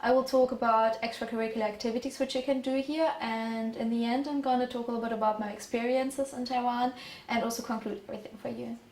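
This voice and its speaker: Speaking at a very fast pace, a woman has a high pitch and talks with a German accent. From Germany. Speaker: exchange student. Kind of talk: presentation.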